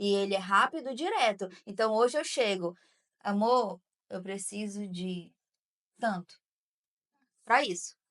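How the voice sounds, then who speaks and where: This woman's intonation is lively. The sound is dry and close, with no echo. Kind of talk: casual chat.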